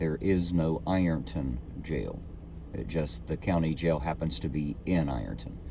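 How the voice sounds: A man with an extremely low pitch talks at a fairly slow pace, his pitch varying in an ordinary way.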